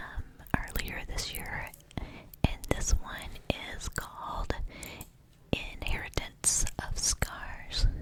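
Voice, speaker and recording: A whisper comes at a very slow pace, broken by long, frequent pauses. Noticeable background noise runs underneath. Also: woman. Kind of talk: casual talk to camera about a book. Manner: soft whispered.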